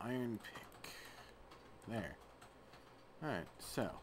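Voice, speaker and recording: A man speaks with an American accent, with audible room echo around him. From US South. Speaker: gaming video creator. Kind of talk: casual gameplay commentary. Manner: halting, with fillers.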